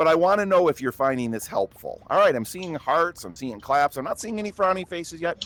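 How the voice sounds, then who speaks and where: A man speaks at a fairly quick pace with hardly any pauses, his pitch high and his intonation lively. His loudness swings widely, the sound is dry and close with no echo, and background noise is noticeable. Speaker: marketing expert giving workshop talk. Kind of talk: online workshop presentation. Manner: fast.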